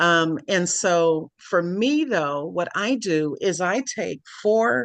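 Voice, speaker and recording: A woman's medium-pitched voice with lively intonation, set against a quiet background. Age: 60s. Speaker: wellness product distributor. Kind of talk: product presentation. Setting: video call.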